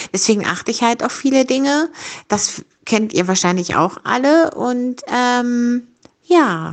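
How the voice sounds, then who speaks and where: A woman speaks in a high pitch. Her pace is very slow. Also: lively intonation. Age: 50s. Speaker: rehab clinic service worker. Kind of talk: personal monologue, guest contribution.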